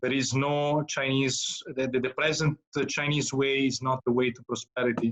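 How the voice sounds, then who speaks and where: A man talks at a moderate pace and medium pitch. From Italy. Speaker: moderator. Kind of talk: moderated Q&A. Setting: video call. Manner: halting.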